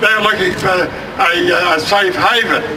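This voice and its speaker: A high-pitched man at a fairly slow pace, with audible room echo and noticeable background noise. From Australia. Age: old. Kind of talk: protest speech. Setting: outdoor rally. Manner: halting.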